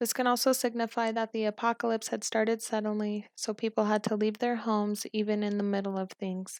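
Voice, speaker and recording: Quiet and fairly high-pitched, a woman talks at a fairly quick pace with hardly any pauses and a monotone, flat intonation. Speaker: college student. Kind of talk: film analysis narration.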